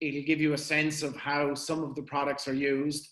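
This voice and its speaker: A man speaks at a moderate pace with a fairly high pitch and monotone, flat intonation. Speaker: company representative. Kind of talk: webinar presentation.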